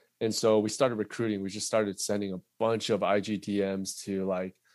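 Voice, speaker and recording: In a Californian accent, a man talks at a moderate pace with fairly low pitch and monotone, flat intonation. The recording is very clean, the background silent. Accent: Californian American English. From Southern California (Fullerton). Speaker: tech sales account executive. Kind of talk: casual interview chat.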